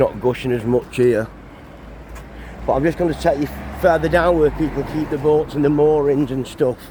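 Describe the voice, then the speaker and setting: A man with a Cumbrian accent, fairly high pitch, fairly even intonation, moderate pace, long and frequent pauses, and noticeable background noise. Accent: northern English (Cumbrian). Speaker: travel vlogger. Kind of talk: walking vlog commentary. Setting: outdoors.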